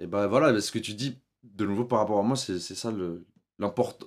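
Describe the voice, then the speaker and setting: In a very clean recording with a silent background, a man with an unremarkable speaking voice talks at a fairly slow pace with ordinary pitch variation. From Switzerland. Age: 30s. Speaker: documentary filmmaker. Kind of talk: casual interview.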